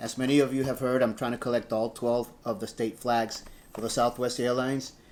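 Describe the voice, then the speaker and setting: A man talks in a monotone, flat intonation. Noticeable background noise runs underneath. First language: Spanish. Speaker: airline worker and model collector. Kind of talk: unboxing video, casual talk.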